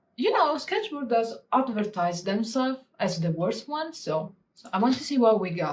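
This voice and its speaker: A woman with a strong Italian accent talks with a fairly high pitch, a somewhat breathy quality, and lively intonation over light background noise. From Italy. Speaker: cartographer and illustrator; illustrator youtuber. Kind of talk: tutorial. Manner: animated. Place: home room.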